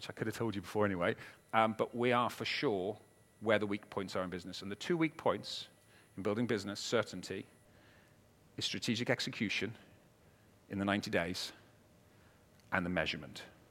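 A man with a Welsh accent, fairly low in pitch with ordinary pitch variation, very fast yet with long, frequent pauses, on a very clean recording with a silent background. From Wales. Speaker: business strategist and keynote speaker. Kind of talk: keynote talk. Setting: stage with audience. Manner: animated.

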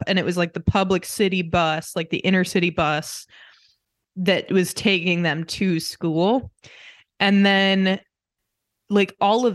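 Over a quiet background, a woman with an American accent and a plain, everyday voice speaks at medium pitch with ordinary pitch variation. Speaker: podcast co-host, daughter. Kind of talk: casual family chat.

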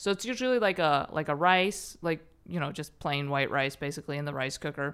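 A woman's very deep, low voice with lively intonation and a fairly quick pace, on a very clean recording with a silent background. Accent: American. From Chicago suburbs, US Midwest. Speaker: stand-up comedian. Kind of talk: casual chat.

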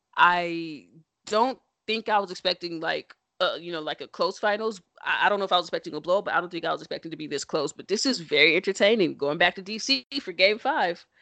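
A woman speaks at a fairly quick pace in a medium pitch with ordinary pitch variation and a playful, animated tone. The background is quiet. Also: dry, close sound with no echo. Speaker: podcast host. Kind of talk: casual banter podcast chat. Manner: playful, joking, animated.

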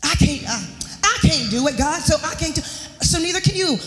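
Speaking at a moderate pace with an American accent, a woman uses a high voice with very wide pitch swings, with audible room echo and noticeable background noise. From US South, Charlotte, North Carolina. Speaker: guest preacher. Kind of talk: sermon. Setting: church.

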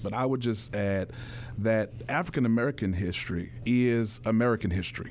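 A man's speech shows ordinary pitch variation and keeps a moderate pace. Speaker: pastor. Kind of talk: interview. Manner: oratorical.

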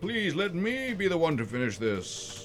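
Over clear music in the background, a man uses a put-on character voice pitched high, moving at a moderate pace. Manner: grim, solemn.

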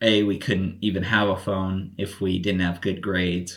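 The recording is very clean with a silent background as a man with an American accent speaks fairly slowly in a very deep, low, monotone voice with flat intonation. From Colorado, US. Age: 20s. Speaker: podcast guest. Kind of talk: casual chat.

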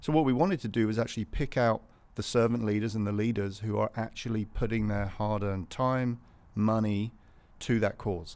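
A man's fairly low voice with a British accent, fairly even intonation and a moderate pace, in a very clean recording with a silent background. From England, north of London. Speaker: business founder. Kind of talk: casual interview chat. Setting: studio.

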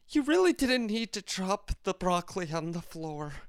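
A man does a whiny, high-pitched put-on character voice at a moderate pace, the sound dry and close with no echo. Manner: comically upset, whiny.

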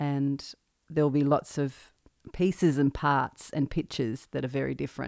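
A woman with an Australian accent speaks at a moderate pace in a very deep, low pitch with fairly even intonation, on a very clean recording with a silent background. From central Victoria, Australia. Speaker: singer-songwriter and podcast host. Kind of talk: solo podcast monologue, personal reflection. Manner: nervous, halting.

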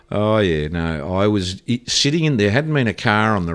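A man with an Australian accent at a moderate pace, in a very clean recording with a silent background. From Australia (Victoria, Ballarat). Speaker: surfboard shaper, former pro surfer. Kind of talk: casual interview storytelling.

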